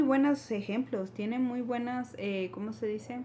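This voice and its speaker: A woman with ordinary pitch variation speaks in a somewhat breathy voice. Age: 20s. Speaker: teacher. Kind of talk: casual chat.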